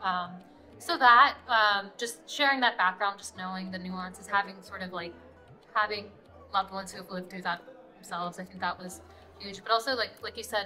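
A woman at a fairly quick pace over faint music in the background. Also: ordinary pitch variation. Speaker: journalist interviewee. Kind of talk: interview answer. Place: hall.

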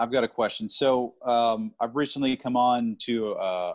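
The speaker is a man. The background is quiet. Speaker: sales team leader. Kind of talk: casual chat. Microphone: video call.

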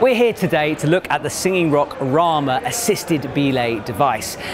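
A man talks at a moderate pace while noticeable background noise continues behind him. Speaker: gear reviewer. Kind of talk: product review presentation. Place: hall.

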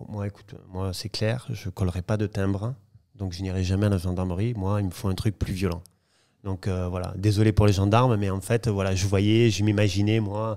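A man's fairly low voice at a moderate pace, flat and monotone, dark and mellow in tone, against a quiet background. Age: 40s. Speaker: property dealer; podcast guest. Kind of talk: interview storytelling. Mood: relaxed, storytelling. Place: home room. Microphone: studio mic.

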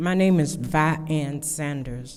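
A woman's very deep, low-pitched voice, fairly even in intonation, with audible echo from the room. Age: 70s. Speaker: public commenter. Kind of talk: public comment at council meeting. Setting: city council meeting. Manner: halting.

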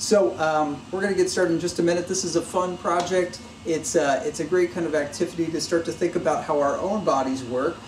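Background noise is clearly present. Over it, a man speaks rather quickly. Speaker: maker educator. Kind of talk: tutorial. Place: workshop.

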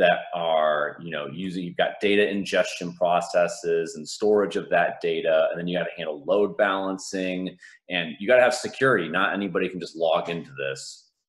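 Against a quiet background, a man talks at a moderate pace. He barely pauses, and his loudness swings widely. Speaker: conference presenter. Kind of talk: conference talk. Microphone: video call.

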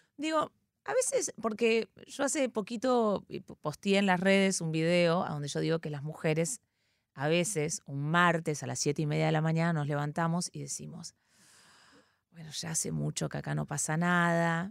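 A woman at a fairly low pitch and moderate pace, with ordinary pitch variation, on a very clean recording with a silent background and a dry, close sound with no echo. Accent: Argentine. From Argentina. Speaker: comedian and actress. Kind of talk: casual chat.

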